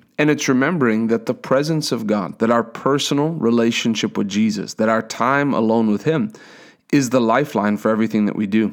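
This man has an unremarkable speaking voice at medium pitch. He talks at a fairly quick pace with ordinary pitch variation. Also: very clean recording, silent background. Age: 30s. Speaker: preacher. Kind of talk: sermon.

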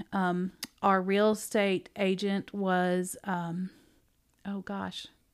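This woman speaks in a Southern US accent at a medium pitch. The recording is very clean, with a silent background. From Tennessee. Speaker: bookstore owner and former teacher. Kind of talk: casual interview. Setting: conference room.

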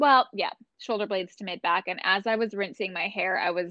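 Her voice has a medium pitch for a woman, and the woman's pitch varies in an ordinary way. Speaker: breathwork coach. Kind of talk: casual interview chat.

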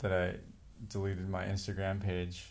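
Audible room echo surrounds a man speaking at a moderate pace. His voice is fairly low in pitch, with monotone, flat intonation. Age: 40s. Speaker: departing podcast co-participant, entrepreneur. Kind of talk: casual chat.

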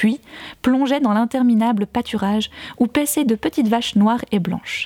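A woman's dark, mellow, somewhat breathy voice carries ordinary pitch variation in a dry, close sound with no echo. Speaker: podcast fiction narrator and author. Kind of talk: literary audiobook reading of a first-person novel, narrated as a woman's memoir; casual recap intro followed by scripted narration. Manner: casual and chatty in the recap, then a more formal literary delivery.

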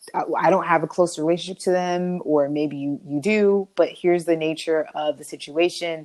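At a moderate pace and with hardly any pauses, a woman talks in a fairly low pitch. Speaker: podcast co-host. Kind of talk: casual chat. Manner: energetic.

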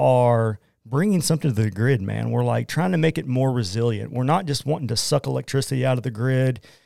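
Delivered at a fairly quick pace with an Oklahoma accent, the voice has a dark, mellow tone and ordinary pitch variation. The recording is very clean, with a silent background. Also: man. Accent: Oklahoman. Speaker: Bitcoin miner and entrepreneur. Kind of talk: casual interview. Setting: studio.

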